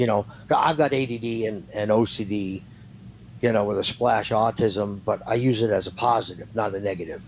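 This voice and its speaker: This man has an ordinary speaking voice with fairly low pitch. He keeps a moderate pace and fairly even intonation. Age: 60s. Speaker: retired professional wrestler. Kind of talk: interview.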